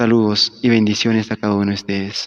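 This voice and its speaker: The sound is dry and close, with no echo. The pace is moderate and the intonation monotone and flat. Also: man. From Peru, Huánuco highlands. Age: 20s. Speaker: church musician. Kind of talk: formal greeting.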